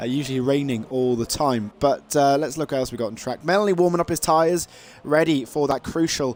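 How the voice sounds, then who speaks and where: A man speaks with ordinary pitch variation while music runs behind him. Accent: Welsh. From Wales. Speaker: esports race commentator. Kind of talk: live commentary. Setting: livestream, solo commentary. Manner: frequent fillers, halting; animated.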